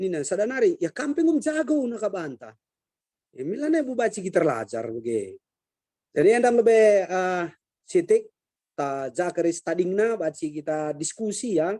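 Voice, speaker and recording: A man speaks high for his sex, in a dark, mellow tone with very wide pitch swings. His pace is moderate and the sound is dry and close, with no echo. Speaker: martial arts master and traditional musician. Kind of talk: online discussion.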